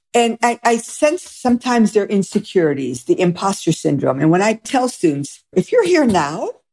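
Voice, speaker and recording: A woman's medium-pitched voice in an American accent, dark and mellow with vocal fry and very wide pitch swings, dry and close with no echo. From Michigan. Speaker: sociology professor. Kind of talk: interview.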